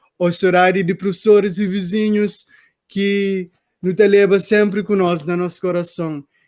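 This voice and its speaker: A man is talking here. The intonation stays fairly even throughout. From Cape Verde, Praia. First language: Cape Verdean Creole (speaking Portuguese). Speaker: reader of the book. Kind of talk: casual chat. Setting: online live stream. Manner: halting.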